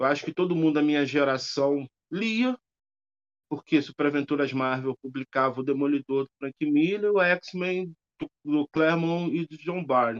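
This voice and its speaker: The sound is dry and close with no echo. A man with an unremarkable speaking voice talks at a fairly high pitch and fairly slow pace, with ordinary pitch variation. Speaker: professor and writer. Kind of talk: interview conversation.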